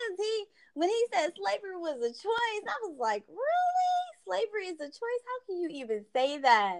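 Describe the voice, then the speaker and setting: A woman talks at a moderate pace with an extremely high pitch, very wide pitch swings, and big swings in loudness. The sound is dry and close with no echo, though background noise is noticeable. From Georgia. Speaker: podcast host. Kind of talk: casual chat.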